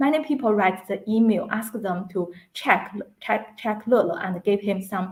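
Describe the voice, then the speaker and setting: Somewhat breathy and medium in pitch, a woman speaks with a Chinese accent. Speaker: animal rights activist. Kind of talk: interview.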